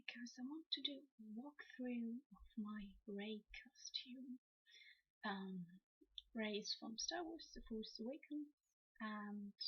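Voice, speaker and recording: Soft-spoken, the speaker talks at a very slow pace. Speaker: cosplayer. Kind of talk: ASMR costume walkthrough. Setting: old headset recording.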